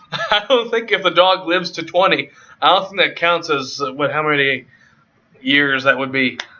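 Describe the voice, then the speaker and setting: Loud and lively in intonation, a man speaks at a high pitch. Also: moderate pace. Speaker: live stream co-host. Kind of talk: casual chat.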